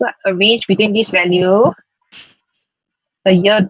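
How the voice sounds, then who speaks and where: A woman speaks at a medium pitch with a dry, close sound and no echo. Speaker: data science workshop instructor. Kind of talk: tutorial.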